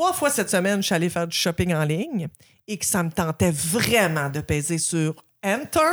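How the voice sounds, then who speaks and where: Lively intonation from a woman with a plain, everyday voice, fairly low in pitch, at a fairly slow pace. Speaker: podcast host. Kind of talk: casual chat.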